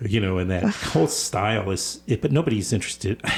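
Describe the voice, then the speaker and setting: A man's somewhat breathy, fairly low voice with lively intonation at a moderate pace. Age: 60s. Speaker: radio host. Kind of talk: interview. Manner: halting, with repetitions.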